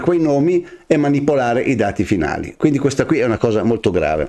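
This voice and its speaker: A man's fairly high voice with vocal fry, a dark, mellow tone, lively intonation, a very fast pace and a quiet background. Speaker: news commentary host. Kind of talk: weekly news commentary. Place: studio.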